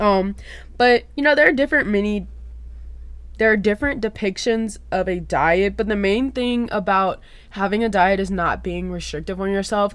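Speaking with an American accent, a woman has an unremarkable speaking voice at a medium pitch. Her pace is moderate, with ordinary pitch variation. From US South, South Louisiana. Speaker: podcast host. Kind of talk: casual solo podcast talk.

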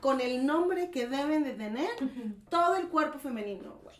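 A woman with a Mexican accent speaks in a high pitch and an animated tone, her intonation lively and her pace moderate. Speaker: podcast host. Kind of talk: casual chat.

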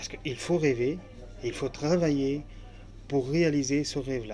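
A man with an Arabic accent talks at a medium pitch. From Syria, Aleppo. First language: Arabic (speaking French). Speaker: author and refugee. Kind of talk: interview. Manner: halting.

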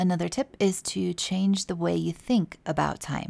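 Over a silent background on a very clean recording, a woman speaks. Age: 40s. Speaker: holistic wellness coach, podcast host. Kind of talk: solo podcast talk, informational.

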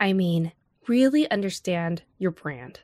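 An unremarkable speaking voice with a General American accent moves at a moderate pace, sounding dry and close with no echo against a quiet background. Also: woman. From US, Los Angeles area. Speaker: author and advertising creative. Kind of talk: interview.

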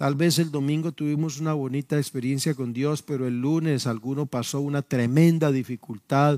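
On a very clean recording with a silent background and a dry, close sound with no echo, a man with a fairly high pitch and a dark, mellow tone talks at a moderate pace with fairly even intonation. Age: 50s. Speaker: pastor. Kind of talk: sermon. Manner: halting.

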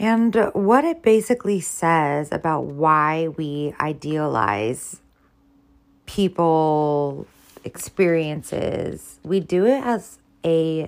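A woman speaks with a very deep, low pitch. Her pace is very slow and her intonation lively. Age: 30s. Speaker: podcaster and blogger. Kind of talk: solo monologue. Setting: in bed at home.

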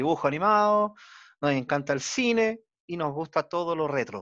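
A man speaks in an ordinary speaking voice at a moderate pace, fairly high in pitch with lively intonation. The background is quiet. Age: 40s. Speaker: podcast host. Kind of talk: interview.

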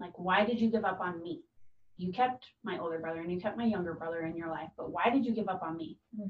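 A woman speaks at a very fast pace, somewhat breathy. Her pitch varies in an ordinary way. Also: medium pitch for a woman. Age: 20s. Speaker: guest sharing recovery story. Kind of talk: personal testimony.

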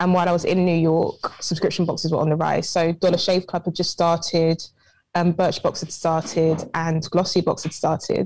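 Delivered at a moderate pace in a British accent, the speech has monotone, flat intonation. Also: woman, fairly low pitch for a woman. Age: 20s. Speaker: entrepreneur. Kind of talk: interview.

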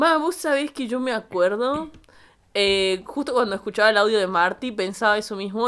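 A woman speaks at a medium pitch in a bright, sharp, animated tone with ordinary pitch variation, on a very clean recording with a silent background. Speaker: podcast co-host. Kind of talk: casual chat.

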